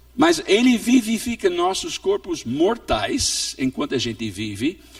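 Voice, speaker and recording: A man speaking at a fairly slow pace over noticeable background noise. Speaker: pastor and missionary. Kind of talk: sermon. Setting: church.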